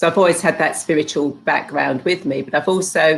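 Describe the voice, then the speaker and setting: Pitched fairly low, a woman talks with a British accent. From UK. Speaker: spiritual healer and hypnotherapist. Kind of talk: interview. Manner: halting, with many fillers.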